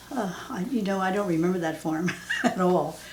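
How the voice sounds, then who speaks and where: Audible room echo and noticeable background noise fill the space as a woman talks. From southeastern Pennsylvania. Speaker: mother interviewed about her life. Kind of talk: oral history interview. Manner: halting, many fillers.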